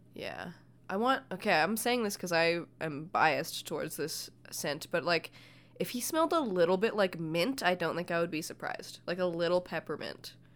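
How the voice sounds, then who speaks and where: On a very clean recording with a silent background, a woman with a plain, everyday voice speaks at a moderate pace, her fairly low pitch showing ordinary pitch variation. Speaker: podcast host. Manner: joking, sarcastic.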